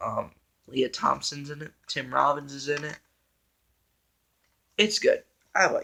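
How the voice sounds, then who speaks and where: The man speaks quietly. His pace is fairly slow. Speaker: movie reviewer on own channel. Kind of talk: casual vlog monologue. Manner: slow and quiet; hesitant, many fillers.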